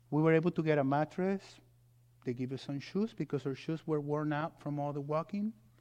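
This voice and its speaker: A man talks at a fairly quick pace with a fairly high pitch and ordinary pitch variation. His tone is dark and mellow against a quiet background. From Mexico. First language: Spanish. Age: 40s. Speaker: guest preacher, pastor. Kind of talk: sermon. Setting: church.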